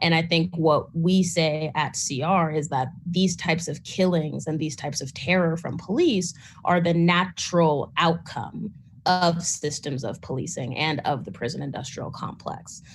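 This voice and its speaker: Somewhat breathy and fairly low in pitch, a woman speaks at a moderate pace with ordinary pitch variation. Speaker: grassroots organizer, panelist. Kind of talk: panel talk.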